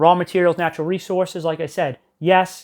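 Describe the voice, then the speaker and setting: A man speaks loudly at a moderate pace with a high pitch. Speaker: history teacher. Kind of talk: classroom lecture. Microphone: no microphone on.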